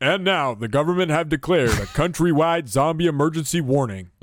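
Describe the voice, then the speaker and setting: Using a put-on character voice, a man speaks at a fairly quick pace with a fairly high pitch. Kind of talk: formal. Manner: urgent, formal broadcast delivery.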